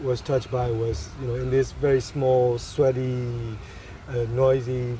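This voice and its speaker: There is noticeable background noise and audible room echo. A man with a medium-pitched voice speaks fairly slowly. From Myanmar. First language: Burmese. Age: 30s. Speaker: photographer. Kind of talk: interview. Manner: halting.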